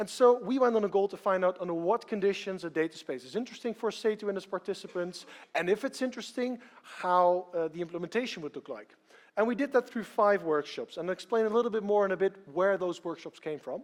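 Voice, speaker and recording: Someone speaks at a very fast pace against a quiet background. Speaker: consultant presenting a project. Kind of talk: conference talk. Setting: stage with audience. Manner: hesitant, many repeated words.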